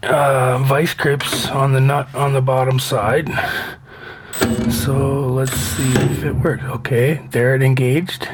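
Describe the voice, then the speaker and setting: Quiet and at very even loudness, a man speaks at a very slow pace in a monotone, flat delivery, with audible room echo and noticeable background noise. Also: medium pitch for a man. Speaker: van builder vlogger. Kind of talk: casual work vlog. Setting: outdoors by van at condo at night. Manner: quiet, keeping voice down.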